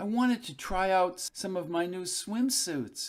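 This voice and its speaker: A man puts on a character voice pitched high. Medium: read story.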